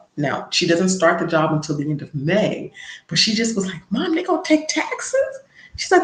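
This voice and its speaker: An animated woman speaks with vocal fry and very wide pitch swings. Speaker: personal finance livestreamer. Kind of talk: casual livestream chat.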